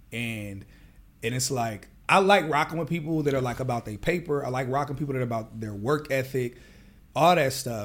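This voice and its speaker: A man speaks in a plain, everyday voice at a medium pitch. His pace is moderate and his pitch variation ordinary. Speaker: podcast host. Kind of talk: casual interview chat.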